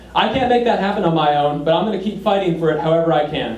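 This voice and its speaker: Audible room echo and noticeable background noise surround a man talking at a very fast pace. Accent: American. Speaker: political candidate. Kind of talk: campaign speech; Q&A answer. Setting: public meeting with audience. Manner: energetic.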